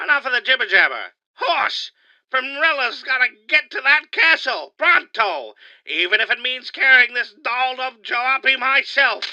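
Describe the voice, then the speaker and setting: A put-on character voice, high-pitched, at a moderate pace. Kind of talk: comic overacting. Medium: audio drama. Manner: slangy, wisecracking.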